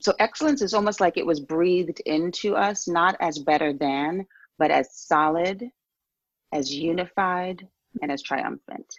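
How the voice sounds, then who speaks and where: An ordinary speaking voice with an American accent comes at a moderate pace, in a dry, close sound with no echo. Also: woman. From New York City. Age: 50s. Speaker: author and transgender advocate. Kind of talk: interview.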